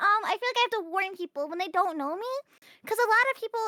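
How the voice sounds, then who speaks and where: A woman's squeaky, raised and projected voice has a bright, sharp tone and lively intonation, with a dry, close sound and no echo. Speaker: VTuber streamer. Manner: playful, hesitant with fillers.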